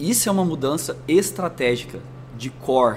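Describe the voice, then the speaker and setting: Music plays in the background as a man with a slight São Paulo accent talks with lively intonation and audible room echo. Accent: slight São Paulo interior rolled R. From interior of São Paulo state (Franca). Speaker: marketing executive. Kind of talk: interview.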